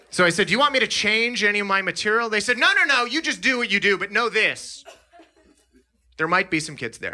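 A man speaks very fast in a high, raised, projected voice. His intonation is lively. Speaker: stand-up comedian. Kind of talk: stand-up comedy set. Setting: stage with live audience. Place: stage. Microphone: handheld.

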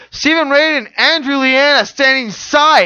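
Excited and raised to project, a man's voice sits at an extremely high pitch with a bright, sharp tone. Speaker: wrestling commentator. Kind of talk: wrestling match commentary. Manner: fast, excited.

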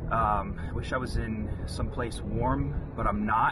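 Amid noticeable background noise, a man's voice comes through as a dry sound with no echo. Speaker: vlogger reviewing a snack. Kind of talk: casual vlog chat. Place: car. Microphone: camera far.

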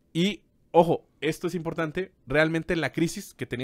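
There's a quiet background behind this recording. A man speaks at a moderate pace. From Mexico. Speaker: business podcast co-host and teacher; podcast co-host. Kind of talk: casual explanatory chat. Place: office. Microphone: studio mic.

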